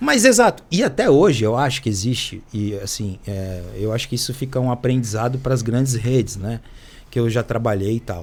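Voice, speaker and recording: The man speaks at a moderate pace. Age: 60s. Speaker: former cyclist and physical educator. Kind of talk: casual chat.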